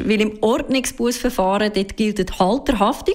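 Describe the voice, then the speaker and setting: A woman speaks in a fairly high voice. Her pace is fairly slow, and her pitch varies in an ordinary way. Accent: Swiss. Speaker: consumer car expert. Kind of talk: radio interview. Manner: casual, explanatory.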